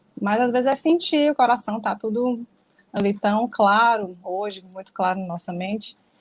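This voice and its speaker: At a moderate pace, a woman talks with a fairly high, somewhat breathy voice and ordinary pitch variation. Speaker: spiritist study group speaker. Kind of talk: lecture. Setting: livestream.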